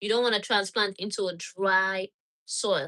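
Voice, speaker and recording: A woman speaks with a Nigerian accent. Her tone is bright and sharp. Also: dry, close sound with no echo. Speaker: gardening channel host. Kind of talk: live stream tutorial with Q&A. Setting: home laundry room.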